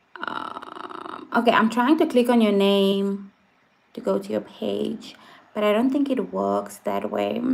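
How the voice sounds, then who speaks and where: A woman speaks with a South African accent. Her pace is fairly slow. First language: Afrikaans. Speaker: vlogger. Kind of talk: casual chat. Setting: livestream. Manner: hesitant, many fillers.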